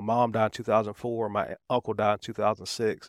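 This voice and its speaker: In a very clean recording with a silent background, a man talks in a Southern US accent with monotone, flat intonation and a dry, close sound with no echo. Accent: Southern US (Georgia). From Atlanta area, Georgia, US South. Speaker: recovering addict sharing testimony. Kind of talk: testimony.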